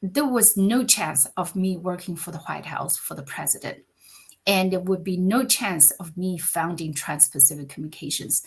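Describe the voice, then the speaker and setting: A woman speaks at a moderate pace and a fairly low pitch, somewhat breathy, with lively intonation and big swings in loudness. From China. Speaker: communications business founder. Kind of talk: podcast interview. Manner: animated.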